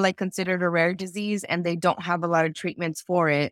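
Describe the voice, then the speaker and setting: At a very fast pace, a woman speaks in a monotone, flat intonation at a medium pitch, with a dry, close sound and no echo. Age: 20s. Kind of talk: interview. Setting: video call.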